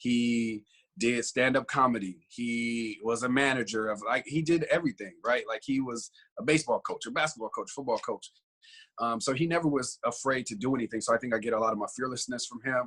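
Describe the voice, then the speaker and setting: In a very clean recording with a silent background, a man talks at a fairly quick pace and medium pitch with ordinary pitch variation. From US West Coast (South Central Los Angeles). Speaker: entrepreneur. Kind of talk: podcast interview. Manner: halting, many fillers.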